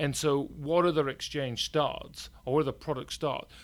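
A Yorkshire accent at a fairly quick pace, on a very clean recording with a silent background. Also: man. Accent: northern English (Yorkshire). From Yorkshire, northern England. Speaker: company CEO. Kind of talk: casual interview.

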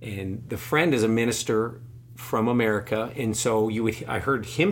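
A man at medium pitch and moderate pace, with audible room echo. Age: 40s. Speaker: podcast host, cancer patient. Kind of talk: casual interview, personal testimony.

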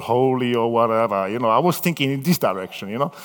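An animated man speaks with an Italian accent. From Italy. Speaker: missionary pastor. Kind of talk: sermon. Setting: church with audience. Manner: halting.

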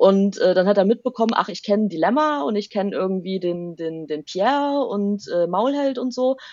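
At a moderate pace and with hardly any pauses, a woman talks at a medium pitch in an ordinary speaking voice. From eastern Germany, Saxony near Leipzig. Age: 30s. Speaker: rapper and university language lecturer. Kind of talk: interview.

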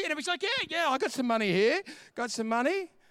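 Raised and projected, an animated voice with an Australian accent has a bright, sharp tone and very wide pitch swings, in a very clean recording with a silent background. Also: man. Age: 50s. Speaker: pastor. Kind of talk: sermon.

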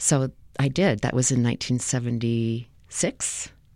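A woman with a General American accent speaks in a dark, mellow tone with ordinary pitch variation. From US West (Los Angeles). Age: 60s. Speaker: retired academic advisor and volunteer. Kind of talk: interview, personal storytelling. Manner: hesitant, many fillers.

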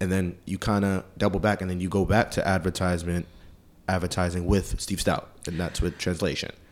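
On a very clean recording with a silent background, a man with an American accent speaks fairly quickly in a very deep, low voice with monotone, flat intonation. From Queens, New York. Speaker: podcast host. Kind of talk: interview.

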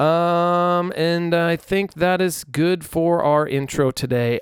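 This man has an ordinary speaking voice pitched fairly high, captured dry and close with no echo on a very clean recording against a silent background. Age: 30s. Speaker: musician and podcast host. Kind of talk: casual solo chat. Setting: alone in a room without headphones. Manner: relaxed, filler-heavy.

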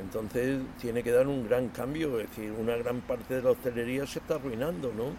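Over noticeable background noise, a man at a medium pitch speaks at a fairly quick pace with fairly even intonation and hardly any pauses. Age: 70s. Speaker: restaurant co-founder. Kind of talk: interview. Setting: restaurant.

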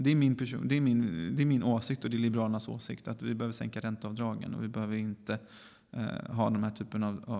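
A man with a dark, mellow tone and fairly even intonation is heard on a very clean recording with a silent background. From Gothenburg, western Sweden. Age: 30s. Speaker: politician. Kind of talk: interview. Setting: parliament building basement room.

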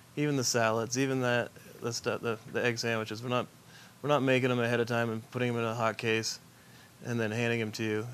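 At a very fast pace, a man speaks at a medium pitch in a flat monotone. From Vermont. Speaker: chef and restaurant owner. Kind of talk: casual interview chat.

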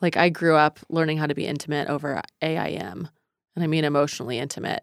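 A woman speaks in a very deep, low voice. The recording is very clean and dry, with a silent background, close sound and no echo. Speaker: podcast host and therapist. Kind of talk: interview conversation, podcast.

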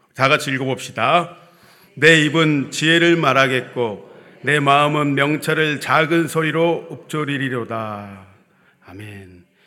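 Loudness swings widely as a man talks at a very slow pace. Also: ordinary pitch variation. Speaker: preacher. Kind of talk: sermon. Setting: church.

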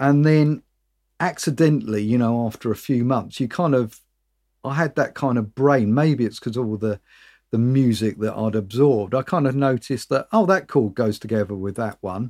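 The speaker is a man with a British accent and a medium pitch. He talks at a moderate pace with ordinary pitch variation. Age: 50s. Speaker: singer-songwriter. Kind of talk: casual chat. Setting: video call.

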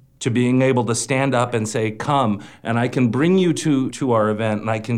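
In an American accent, a man uses an ordinary speaking voice at medium pitch and a fairly slow pace, with ordinary pitch variation. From El Centro, California. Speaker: playwright. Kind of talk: panel discussion.

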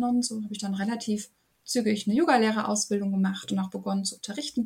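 Her voice is a normal speaking voice, a woman's at fairly high pitch with fairly even intonation. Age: 30s. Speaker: yoga and women's health coach. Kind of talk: interview.

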